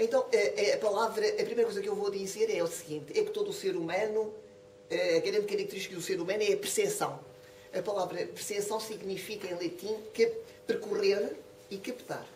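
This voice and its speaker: Here a woman with a European Portuguese accent talks at a fairly quick pace. Audible room echo and noticeable background noise fill the recording. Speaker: professor of philosophy, lecturer. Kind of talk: lecture. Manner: fast.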